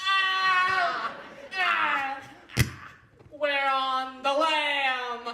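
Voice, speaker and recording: A put-on character voice, high-pitched, with slight echo. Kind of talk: comic musical-theatre acting. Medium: stage play. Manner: tough-guy slang, cackling.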